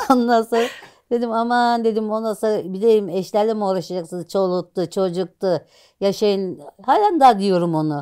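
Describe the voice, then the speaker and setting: A woman speaks at a moderate pace. Her tone is dark and mellow, with ordinary pitch variation. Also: medium pitch for a woman, quiet background. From rural Turkey. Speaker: social media personality; interviewee, social media content creator. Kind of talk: casual interview. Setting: at home. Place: home room. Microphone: lapel.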